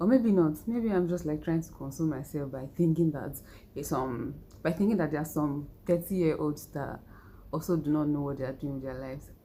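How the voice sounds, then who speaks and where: A woman's very deep, low voice with a dark, mellow tone, ordinary pitch variation and a fairly quick pace. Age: 30s. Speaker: vlogger. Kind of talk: personal vlog monologue. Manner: laughs often while talking.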